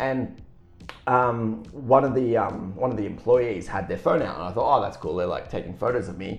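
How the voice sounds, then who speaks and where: Music plays behind a man speaking at a medium pitch and a moderate pace. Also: ordinary pitch variation. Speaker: podcast co-host; works as a Santa Claus performer. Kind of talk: casual chat. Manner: animated.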